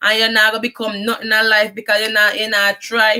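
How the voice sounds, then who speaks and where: In a strong Jamaican accent, a woman speaks with a bright, sharp tone. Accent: Jamaican patois accent, strong. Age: 30s. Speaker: vlogger. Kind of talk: personal life story monologue. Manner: halting.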